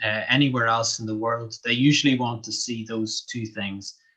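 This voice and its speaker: Speaking at a fairly slow pace with a Northern Irish accent, a man has a medium pitch, a bright, sharp tone and monotone, flat intonation. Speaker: English language teacher. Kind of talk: interview. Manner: hesitant, with many fillers.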